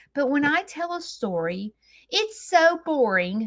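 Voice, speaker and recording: Animated and full of very wide pitch swings, a woman talks in a Southern US accent. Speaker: farm lifestyle content creator. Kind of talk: live stream chat. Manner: theatrical.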